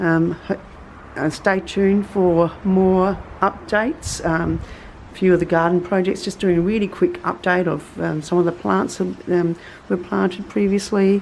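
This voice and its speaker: Noticeable background noise sits behind a woman with an Australian accent. She talks at a moderate pace and medium pitch, with fairly even intonation. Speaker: gardening vlogger. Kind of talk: casual tutorial. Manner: halting, many fillers.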